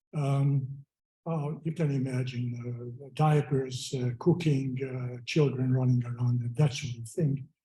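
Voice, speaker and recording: At a fairly slow pace, a man speaks in a medium pitch with a dark, mellow tone, fairly even intonation and a somewhat breathy quality. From Hungary. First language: Hungarian. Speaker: memorial speaker. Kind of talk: memorial speech. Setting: memorial gathering. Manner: halting, many fillers. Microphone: poor audio.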